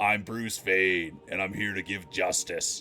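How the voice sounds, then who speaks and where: A man puts on a character voice with a fairly low pitch and fairly even intonation. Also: fairly slow pace. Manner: gruff, ominous.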